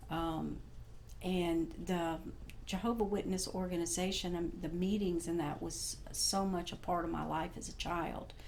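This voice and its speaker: Speaking fairly slowly, a woman's voice bounces with audible room echo. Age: 60s. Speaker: former Jehovah's Witness sharing her story. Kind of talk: testimony. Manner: halting, many fillers.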